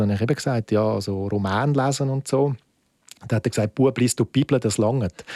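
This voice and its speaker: Speaking at a very fast pace, a man has a dark, mellow tone at a medium pitch with ordinary pitch variation, in a dry, close sound with no echo. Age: 40s. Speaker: film festival director. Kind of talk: interview.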